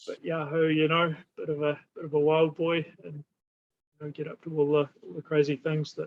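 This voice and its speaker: A man with a New Zealand accent at a fairly high pitch and moderate pace, monotone, flat intonation and big swings in loudness. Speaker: holistic therapy practitioner. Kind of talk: casual interview conversation. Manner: halting, many fillers and repetitions.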